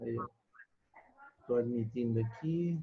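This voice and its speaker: A somewhat breathy man at a fairly slow pace, with ordinary pitch variation. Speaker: pharmacology lecturer. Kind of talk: online lecture. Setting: video call class.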